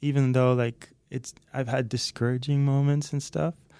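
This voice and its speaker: A man speaks with a Dutch accent. His tone is dark and mellow, with fairly even intonation. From Netherlands, near Haarlem. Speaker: music producer and guitarist. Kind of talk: casual chat. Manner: halting, repeats words.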